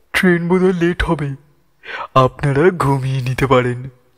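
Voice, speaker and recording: A man puts on a character voice with a fairly high pitch. He talks at a moderate pace with ordinary pitch variation. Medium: read story. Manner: shifts from mild politeness to savage threats.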